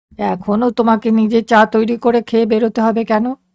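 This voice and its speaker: A woman puts on a rumbling character voice, fairly high in pitch, with monotone, flat intonation at a moderate pace. Her loudness stays very even, and the sound is dry and close with no echo. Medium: read story. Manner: grumbling.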